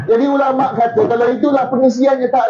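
Loud and extremely high-pitched, a man speaks at a moderate pace against noticeable background noise. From Malaysia, Johor. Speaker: religious preacher. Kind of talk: sermon. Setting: outdoors. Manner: animated.

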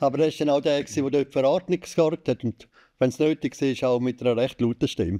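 At a fairly quick pace, the speaker uses a dark, mellow tone with very even loudness and ordinary pitch variation against a quiet background. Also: man. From Switzerland, Landquart (Graubünden); Graubünden, Switzerland. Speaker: sports journalist. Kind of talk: casual chat. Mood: cheerful, nostalgic. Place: studio. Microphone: studio mic.

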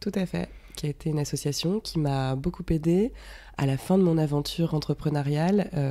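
With a dark, mellow tone and a very deep, low pitch, a woman speaks at a moderate pace with ordinary pitch variation. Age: 30s. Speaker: freelance art director and former entrepreneur. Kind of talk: podcast interview testimony. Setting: at the guest's home. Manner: hesitant, many fillers.

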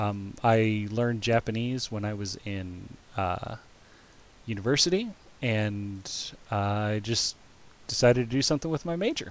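A man with an ordinary speaking voice talks at a fairly slow pace and medium pitch, with ordinary pitch variation. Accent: American. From United States. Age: 30s. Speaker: streamer and game master. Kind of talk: live-streamed tabletop game narration. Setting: live stream.

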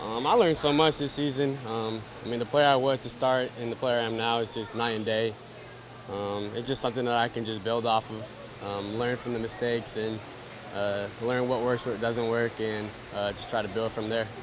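Over noticeable background noise, a man speaks at a moderate pace with fairly even intonation, the sound dry with no echo. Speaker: interviewee. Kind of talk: interview answer. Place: street. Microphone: handheld.

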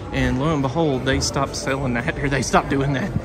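Over clear background noise, a man speaks at a medium pitch with fairly even intonation. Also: moderate pace.

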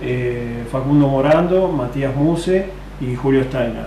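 A man talks at a fairly slow pace with ordinary pitch variation, with audible room echo and light background noise in the recording. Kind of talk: institutional statement. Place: workshop. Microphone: phone near.

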